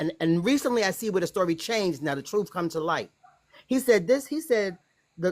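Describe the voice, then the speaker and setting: A plain, everyday voice from a woman at medium pitch, fairly quick in pace and lively in intonation. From United States. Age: 60s. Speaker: guest telling personal story. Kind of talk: testimony.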